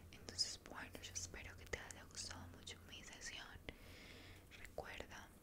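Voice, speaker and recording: A woman is soft-spoken. Loud background noise is present. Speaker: ASMR roleplay host. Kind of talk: roleplay monologue, soft-spoken. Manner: soft close-mic ASMR speech. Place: home room. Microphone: studio mic.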